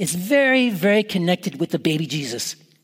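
A man talks at a fairly quick pace. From Canada. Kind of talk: Christmas homily.

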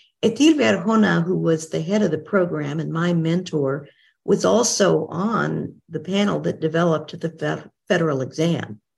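The delivery has lively intonation, vocal fry, a moderate pace and hardly any pauses. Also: woman, fairly low pitch for a woman. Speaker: retired professor and interpreter trainer. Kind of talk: interview.

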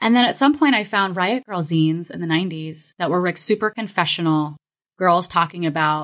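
Using an ordinary speaking voice, a woman talks at a moderate pace and fairly low pitch with ordinary pitch variation, the sound dry and close with no echo on a very clean recording with a silent background. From Florida and Kansas, US. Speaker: writer, illustrator, podcaster, professor. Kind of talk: casual interview chat.

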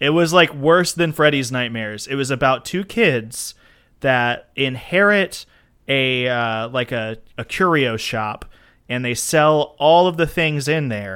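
Using an unremarkable speaking voice, a man with an American accent talks at a fairly high pitch and a fairly slow pace with lively intonation, on a very clean recording with a silent background. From Florida. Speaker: podcast co-host. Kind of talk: casual chat.

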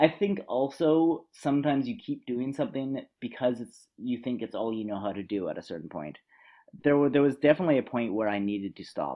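A man at a medium pitch with a Canadian accent, lively intonation and a fairly quick pace. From western Canada, near Vancouver. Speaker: travel journalist and radio host. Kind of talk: interview conversation. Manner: halting, frequent repetitions.

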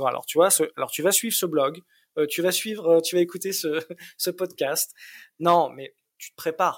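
This man's voice is high-pitched for a man, recorded dry and close with no echo, moving at a moderate pace with fairly even intonation, big swings in loudness, and long, frequent pauses. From Paris region suburbs, France. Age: 30s. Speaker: single father. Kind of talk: interview testimony. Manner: halting, many repetitions.

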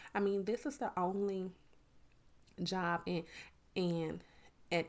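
On a very clean recording with a silent background, a woman with a Southern US accent speaks at a medium pitch with ordinary pitch variation. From US South, Miami, Florida; lives in Georgia. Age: 30s. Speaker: podcast host and educator. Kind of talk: motivational monologue. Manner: relaxed, natural flow.

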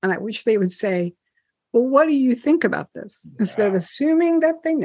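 Fairly quick speech in an American accent, with big swings in loudness and very wide pitch swings. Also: woman, high pitch for a woman. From New Jersey, US. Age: 70s. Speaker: author. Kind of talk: interview, personal story. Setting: video call.

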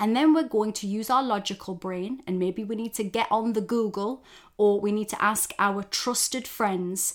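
An unremarkable speaking voice moves at a moderate pace with ordinary pitch variation. It's a very clean recording over a silent background. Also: woman, fairly high pitch for a woman. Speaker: self-development coach and podcast host. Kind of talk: pep talk. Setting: solo podcast recording. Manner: warm, direct, encouraging; conversational, informal, with swearing.

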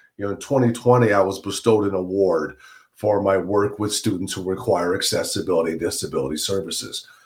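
A man with an American accent, a fairly low, somewhat breathy voice, and a fairly quick pace. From Central New York. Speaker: podcast host. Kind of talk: casual interview.

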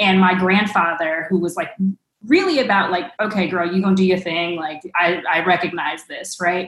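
A woman with a normal speaking voice, in an American accent, at medium pitch, moderate pace and fairly even intonation. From Los Angeles, Watts. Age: 30s. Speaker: education nonprofit leader. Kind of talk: panel discussion. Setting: video call.

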